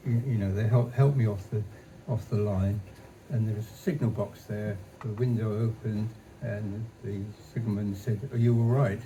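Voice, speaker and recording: Noticeable background noise and audible room echo surround a man whose fairly low voice keeps a fairly even intonation. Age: 80s+. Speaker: retired engineer and early game developer. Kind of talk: stage talk interview. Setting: stage with audience. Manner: halting.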